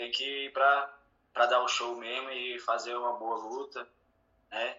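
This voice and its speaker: At a very slow pace, a man talks in a medium-pitched voice. His intonation is monotone and flat. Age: 30s. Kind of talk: interview.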